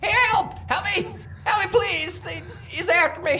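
Someone shouts in a put-on character voice at an extremely high pitch. The pace is fairly slow, and background noise is clear. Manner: screaming in panic.

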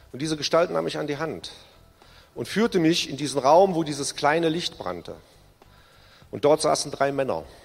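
A man's fairly high voice with vocal fry, at a moderate pace with long, frequent pauses and ordinary pitch variation. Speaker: recovered alcoholic giving testimony. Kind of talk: testimony. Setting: church service.

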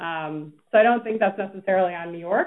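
In an unremarkable speaking voice, a woman with a fairly low pitch talks at a fairly quick pace, with ordinary pitch variation. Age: 30s. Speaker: PR agency founder and CEO. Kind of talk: interview.

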